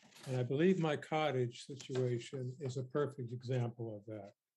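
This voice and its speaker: A somewhat breathy male voice with ordinary pitch variation. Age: 70s. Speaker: member of the public presenting to a committee. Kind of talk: prepared statement to a legislative committee. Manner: formal.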